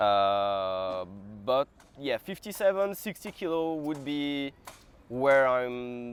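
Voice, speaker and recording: A man with a French accent, very wide pitch swings and long, frequent pauses. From France. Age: 20s. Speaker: calisthenics athlete and vlogger. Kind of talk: casual Q&A talk to camera.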